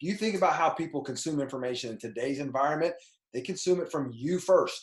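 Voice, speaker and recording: Very fast and animated, a man speaks at a fairly high pitch with lively intonation in a somewhat breathy voice. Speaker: personal brand coach. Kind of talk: tutorial. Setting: screen share recording.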